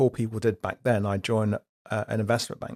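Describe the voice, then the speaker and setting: The recording is very clean and the background silent. An English accent marks the man's speech. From UK, raised from age 8 after West African childhood. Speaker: company director, insurance executive. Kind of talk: interview.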